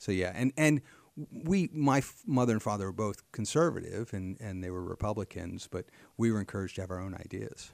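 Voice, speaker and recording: In a very clean recording with a silent background and a dry, close sound with no echo, a man with an American accent uses an ordinary speaking voice, fairly low in pitch, at a fairly quick pace with lively intonation. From Pennsylvania, Harrisburg area. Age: 50s. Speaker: state legislator and real estate businessman. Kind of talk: interview conversation. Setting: office.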